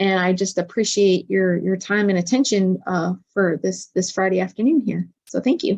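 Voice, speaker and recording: A woman's plain, everyday voice at medium pitch and moderate pace, with ordinary pitch variation, very even loudness and hardly any pauses. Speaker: physician and webinar presenter. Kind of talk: webinar presentation.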